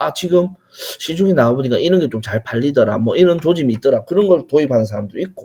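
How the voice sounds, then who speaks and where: Fairly high-pitched male voice, dark and mellow in tone, at a fairly quick pace. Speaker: online retail business instructor. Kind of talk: lecture with Q&A. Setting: online livestream lecture. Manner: conversational.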